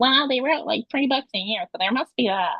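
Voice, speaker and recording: In a put-on character voice, a female-sounding speaker talks at a fairly quick pace with a high pitch. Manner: obnoxious, exaggerated, mocking.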